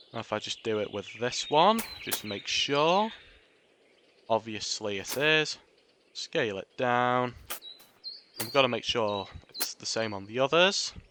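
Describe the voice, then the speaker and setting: With noticeable background noise, a man speaks at medium pitch and a fairly slow pace, leaving long, frequent pauses. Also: lively intonation. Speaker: gaming video creator. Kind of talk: tutorial. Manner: casual, filler-heavy narration.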